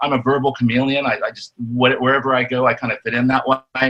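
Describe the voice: Bright and sharp in tone, a man speaks at a medium pitch with monotone, flat intonation.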